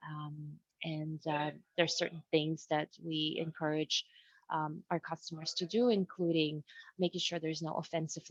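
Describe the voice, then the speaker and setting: A woman speaks at a moderate pace with a non-native accent and a fairly low pitch. The sound is dry and close, with no echo. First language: not English. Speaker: webinar presenter. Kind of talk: webinar presentation. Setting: video call. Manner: halting.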